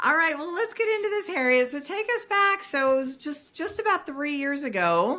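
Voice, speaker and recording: A woman's raised, projected voice in an American accent, extremely high in pitch with a bright, sharp tone, very wide pitch swings, a moderate pace and hardly any pauses. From US East Coast. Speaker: podcast host. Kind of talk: interview podcast. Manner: animated.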